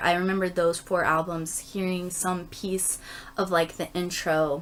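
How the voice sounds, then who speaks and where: This woman speaks quietly. Her pitch is medium. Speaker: YouTuber doing album unboxing and reviews. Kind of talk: casual video review. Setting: home recording with others in the house. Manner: subdued, quiet; hesitant, many fillers.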